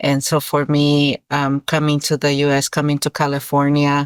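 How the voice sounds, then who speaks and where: A woman with a Spanish accent and a very deep, low voice speaks at a fairly slow pace, her sound dry and close with no echo, in a very clean recording with a silent background. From Mexico, Guerrero (Iguala). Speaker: author. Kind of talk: interview. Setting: school podcast interview. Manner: hesitant, many fillers and repetitions.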